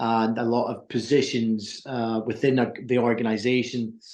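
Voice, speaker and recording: A man with an American accent, medium pitch, monotone, flat intonation and a moderate pace. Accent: Scottish with a slight American twang. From Scotland. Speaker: recruitment business owner. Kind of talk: interview.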